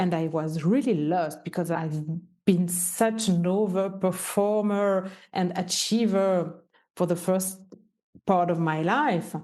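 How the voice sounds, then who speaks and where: Very slow speech in a Swiss French accent, dark and mellow in tone, with ordinary pitch variation and audible room echo. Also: woman, medium pitch for a woman. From French-speaking Switzerland. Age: 50s. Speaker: entrepreneur and business mentor. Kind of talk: podcast interview.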